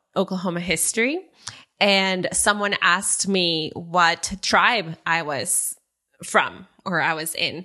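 Against a quiet background, a voice with a Spanish accent and a bright, sharp tone speaks at a very slow pace. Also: woman. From northern Mexico, Saltillo. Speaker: nonprofit worker and dancer. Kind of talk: interview.

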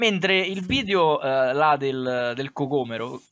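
A man's voice carries a bright, sharp tone with ordinary pitch variation. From Lazio, Italy. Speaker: YouTube comedy creator. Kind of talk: casual chat. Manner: halting.

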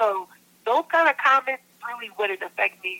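Here a woman speaks with an American accent at a fairly high pitch. The sound is dry and close, with no echo. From upstate New York. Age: 20s. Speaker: hip hop soul singer. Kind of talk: interview. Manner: hesitant, many fillers.

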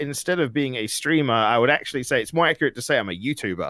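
With a very clean recording and a silent background, a man uses a normal speaking voice at a medium pitch, a fairly quick pace and ordinary pitch variation. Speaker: streamer and youtuber. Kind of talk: casual interview chat.

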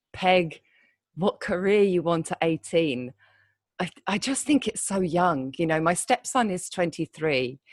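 A woman with a British accent speaks at a fairly slow pace and a medium pitch, the sound dry and close with no echo against a quiet background. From Britain. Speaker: copywriter. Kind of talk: interview conversation. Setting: remote call from Thailand. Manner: hesitant, many fillers.

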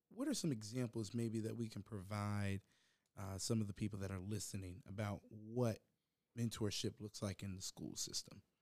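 Here is a man with an American accent and a plain, everyday voice, his pitch fairly low and his intonation fairly even. He keeps a moderate pace, and the sound is dry and close with no echo. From Virginia, Hampton. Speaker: podcast host, college music education student. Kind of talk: casual interview podcast.

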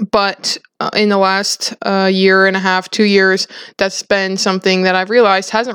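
Here a woman speaks with an American accent at a medium pitch. Her pace is moderate and her intonation monotone and flat. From South Dakota, US Midwest. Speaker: guest, co-worker of host. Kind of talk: casual faith discussion. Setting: in-person recording.

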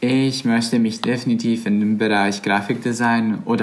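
This man has a Bosnian accent and a medium pitch, talking at a moderate pace with audible room echo. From Bosnia and Herzegovina. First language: Bosnian (speaking German). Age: 20s. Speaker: volunteer campaign worker. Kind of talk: casual interview chat.

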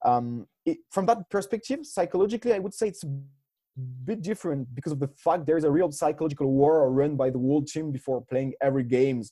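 A man with a French accent talks at a very fast pace in a fairly high pitch, his tone dark and mellow and his intonation lively. The recording is very clean, with a silent background. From France. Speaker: master's student and amateur rugby player. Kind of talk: interview.

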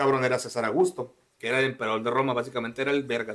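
This man has a plain, everyday voice, pitched fairly high and delivered with fairly even intonation. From Mexico, Sonora (Cananea). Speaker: podcast host. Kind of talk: casual chat.

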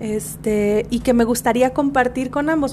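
Over noticeable background noise, a woman talks in a fairly high pitch with ordinary pitch variation. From Mexico, Guadalajara. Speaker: podcast co-host. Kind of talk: casual chat.

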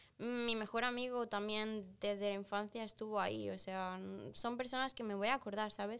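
Her intonation monotone and flat, a woman speaks at a moderate pace with a fairly high pitch. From Peru, moved to Spain around age 7 or 8. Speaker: athlete and referee. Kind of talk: casual chat.

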